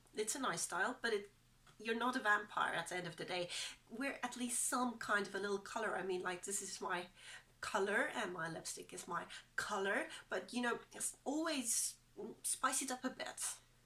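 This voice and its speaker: A woman with a fairly high pitch and ordinary pitch variation talks at a moderate pace while noticeable background noise plays. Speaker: beauty and style vlogger. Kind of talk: casual talk to camera.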